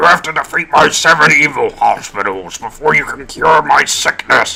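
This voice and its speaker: Over faint background music, a man puts on a character voice and speaks at a moderate pace. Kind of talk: put-on character voice.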